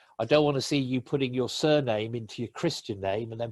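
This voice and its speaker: A man's medium-pitched voice with an English accent. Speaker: LinkedIn trainer. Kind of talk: webinar presentation.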